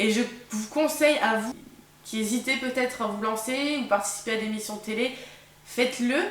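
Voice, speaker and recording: Speaking in a strong northern French accent at a moderate pace, with long, frequent pauses and fairly even intonation, the voice carries audible room echo over noticeable background noise. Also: woman, fairly high pitch for a woman. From northern France. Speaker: vlogger, former game show contestant. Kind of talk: casual vlog storytelling. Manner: hesitant, many fillers.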